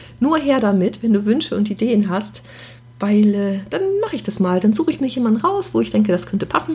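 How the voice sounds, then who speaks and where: Amid noticeable background noise, a woman rattles off her words at a very fast rate. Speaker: podcast host, professional organizer. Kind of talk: casual solo monologue. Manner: unscripted, chatty.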